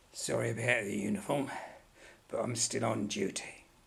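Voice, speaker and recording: Using a put-on character voice, a man talks at a moderate pace in a raspy, medium-pitched tone. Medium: audio drama. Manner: blunt, colloquial, aggrieved.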